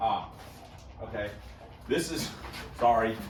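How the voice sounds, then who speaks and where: Noticeable background noise and audible room echo are present in this clip. A man talks through it at a moderate pace. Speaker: car hobbyist video host. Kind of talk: casual unboxing vlog. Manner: loud; casual, halting with fillers.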